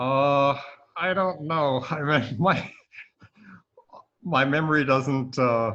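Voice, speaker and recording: Audible room echo surrounds a man whose fairly high, bright, sharp voice moves very slowly with long, frequent pauses and ordinary pitch variation. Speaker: army veteran, interviewee. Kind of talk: interview.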